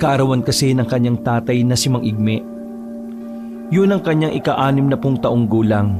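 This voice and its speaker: Over music in the background, a man speaks at a moderate pace and medium pitch with ordinary pitch variation. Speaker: voice actor. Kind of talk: horror story narration.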